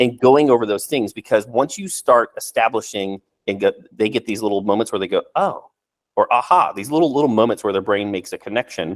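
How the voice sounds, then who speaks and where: Medium-pitched male voice, fairly quick pace, lively intonation, dry, close sound with no echo. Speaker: real estate agent. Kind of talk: casual chat. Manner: fast; halting.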